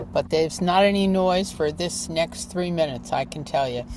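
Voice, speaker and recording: Noticeable background noise is present. Over it, a woman talks at a fairly low pitch. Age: 80s+. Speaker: lawyer. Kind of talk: casual introduction. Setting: outdoors outside a courthouse, video call.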